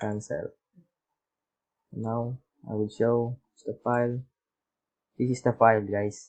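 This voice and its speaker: Speaking very slowly with long, frequent pauses, a man keeps a medium pitch and a monotone, flat intonation. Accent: Filipino. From Philippines. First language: Tagalog. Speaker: YouTube tutorial maker. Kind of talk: tutorial. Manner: halting.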